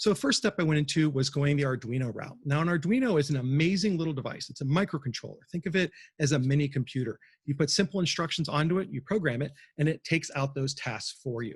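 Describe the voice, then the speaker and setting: A somewhat breathy, fairly high-pitched man at a very fast pace, with ordinary pitch variation and a quiet background. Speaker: museum exhibit designer giving a talk. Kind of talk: presentation talk. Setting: livestream from a cafe.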